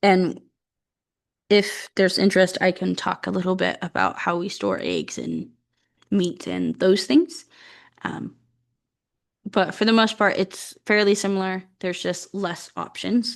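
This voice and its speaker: Against a quiet background, a woman speaks at a fairly slow pace with long, frequent pauses. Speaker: agriculture educator. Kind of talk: educational monologue. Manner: hesitant, many fillers.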